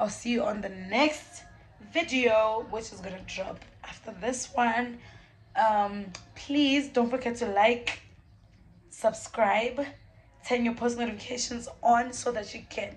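Over music in the background and with audible room echo, a woman speaks at a high pitch and a fairly slow pace, with ordinary pitch variation, big swings in loudness and long, frequent pauses. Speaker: vlogger. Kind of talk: casual vlog to camera.

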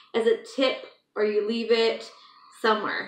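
There is audible room echo around this woman. She talks at a fairly slow pace. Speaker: vlogger. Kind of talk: casual vlog chat. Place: home room. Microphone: phone near.

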